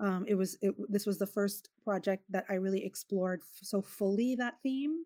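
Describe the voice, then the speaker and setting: A woman's medium-pitched voice in a dark, mellow tone with an American accent, at a moderate pace with hardly any pauses and ordinary pitch variation. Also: dry, close sound with no echo. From US West Coast, Los Angeles. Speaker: filmmaker. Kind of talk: interview. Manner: halting, many fillers.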